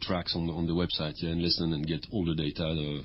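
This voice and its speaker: A man with a strong French accent and a very deep, low pitch talks at a very fast pace. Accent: heavy French. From France. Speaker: music project founder and performer. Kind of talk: radio interview. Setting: radio studio.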